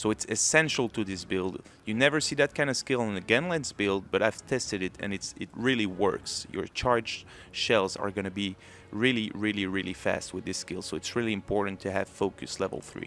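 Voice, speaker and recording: On a very clean recording with a silent background, a man with a French accent talks fairly quickly. His voice sits fairly low and has ordinary pitch variation. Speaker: gaming video creator. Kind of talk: tutorial.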